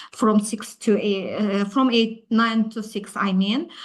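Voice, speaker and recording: Somewhat breathy and fairly high in pitch, a woman speaks at a fairly slow pace over a quiet background. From Azerbaijan. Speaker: HR specialist. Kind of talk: presentation. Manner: halting, many filler sounds.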